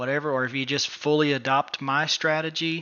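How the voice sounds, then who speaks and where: A man with an ordinary speaking voice talks in a fairly high pitch. His pace is moderate. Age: 30s. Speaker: day trading educator. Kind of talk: casual chat.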